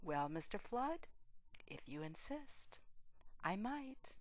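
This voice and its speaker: Putting on a character voice, a woman speaks very slowly in a shaky, husky tone at a fairly high pitch with very wide pitch swings. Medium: read story.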